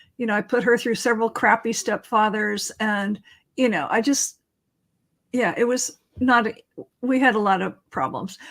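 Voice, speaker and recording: A woman with a West Coast US accent, fairly high pitch, ordinary pitch variation, moderate pace and long, frequent pauses. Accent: General American (West Coast). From California. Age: 60s. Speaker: author and interviewee. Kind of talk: casual interview chat.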